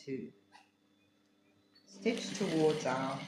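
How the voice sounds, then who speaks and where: A woman's very deep, low voice makes very wide pitch swings. The room echoes audibly and background noise is noticeable. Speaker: quilting teacher. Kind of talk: tutorial.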